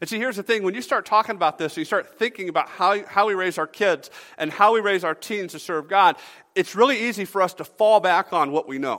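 Very fast speech with a bright, sharp tone and ordinary pitch variation. The recording is very clean, with a silent background and a dry, close sound with no echo. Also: man, high pitch for a man. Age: 30s. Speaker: pastor. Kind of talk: sermon.

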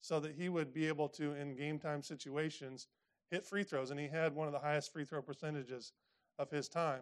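A man with a Midwestern American accent speaks with fairly even intonation. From Indiana, US Midwest. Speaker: pastor. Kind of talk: sermon.

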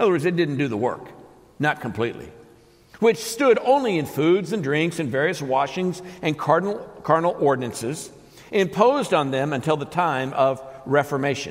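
Audible room echo surrounds a man whose fairly high-pitched voice moves with lively intonation at a moderate pace. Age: 60s. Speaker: pastor. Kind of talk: sermon. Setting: church. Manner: halting.

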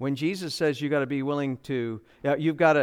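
A man's plain, everyday voice, fairly high in pitch, at a moderate pace. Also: quiet background. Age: 60s. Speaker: pastor. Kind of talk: sermon.

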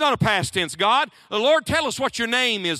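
A man speaks in a raised, projected voice with a bright, sharp tone. The recording is very clean and dry, with a silent background and a close sound with no echo. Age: 40s. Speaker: preacher. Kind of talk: sermon. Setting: college chapel with audience.

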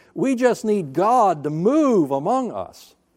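In a very clean recording with a silent background, a man with a Southern US accent and a dark, mellow tone swings very widely in pitch. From US South (North Alabama, then Florida). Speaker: pastor. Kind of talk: sermon. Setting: church.

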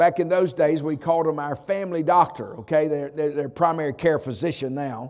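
At a moderate pace, a man with a fairly high pitch and ordinary pitch variation speaks on a very clean recording with a silent background. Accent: Southern US. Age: 60s. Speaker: pastor. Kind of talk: sermon. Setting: church chapel service.

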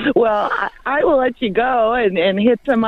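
A woman's normal speaking voice with lively intonation at a moderate pace. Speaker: ministry staff member. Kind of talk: casual chat. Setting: phone call.

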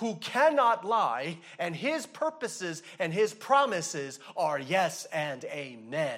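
Very slow, high-pitched speech from a man, with very wide pitch swings and audible room echo. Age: 40s. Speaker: pastor. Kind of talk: sermon.

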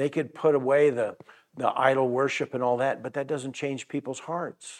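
An unremarkable speaking voice talks at a fairly slow pace with fairly even intonation. The background is quiet. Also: man. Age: 60s. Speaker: pastor. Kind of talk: sermon. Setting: church.

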